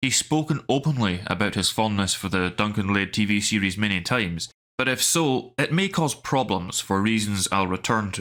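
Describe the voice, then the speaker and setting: A man with a Scottish accent, fairly low pitch, ordinary pitch variation, a moderate pace and a bright, sharp tone. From Scottish Highlands. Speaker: YouTube film commentator. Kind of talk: scripted commentary.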